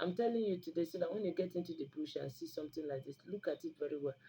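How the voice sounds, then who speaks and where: Someone with a Nigerian accent speaks in an animated tone. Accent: Nigerian English (Igbo). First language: Igbo. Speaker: YouTube channel host. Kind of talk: informal health talk to camera. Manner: animated, with frequent mm fillers.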